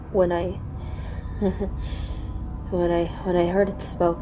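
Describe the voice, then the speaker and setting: A woman's voice with music in the background. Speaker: storyteller / narrator. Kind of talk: horror story narration. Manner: halting, stammering in tense scenes.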